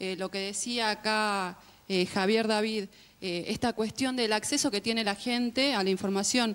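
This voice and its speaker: On a very clean recording with a silent background, a woman with a fairly high pitch speaks at a fairly slow pace with fairly even intonation. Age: 20s. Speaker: community communicator and activist. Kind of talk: panel debate. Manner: hesitant, many fillers.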